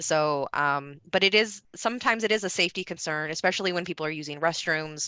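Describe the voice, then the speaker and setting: A woman with a Midwestern American accent and a bright, sharp tone, very fast pace, ordinary pitch variation, quiet background. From US Midwest, Ohio. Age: 30s. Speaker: presenter. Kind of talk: Q&A answer.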